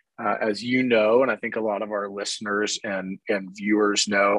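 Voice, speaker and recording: The speaker holds a moderate pace with monotone, flat intonation, recorded with a dry, close sound with no echo against a quiet background. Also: man. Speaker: podcast host. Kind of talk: interview podcast. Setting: office.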